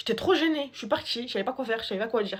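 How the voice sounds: At a very fast pace, a woman with a fairly high pitch and a slightly husky edge speaks with lively intonation.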